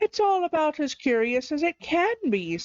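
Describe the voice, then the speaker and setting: In a put-on, squeaky character voice, a woman speaks at a moderate pace with a high pitch. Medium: read story. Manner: impatient, brisk.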